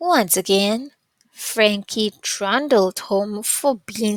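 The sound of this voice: Ordinary pitch variation in an unforced reading voice, against a quiet background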